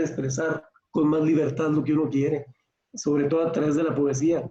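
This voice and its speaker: In a dark, mellow tone, a man with a fairly high pitch speaks at a moderate pace. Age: 60s. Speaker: poet in audience. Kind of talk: audience comment in a discussion.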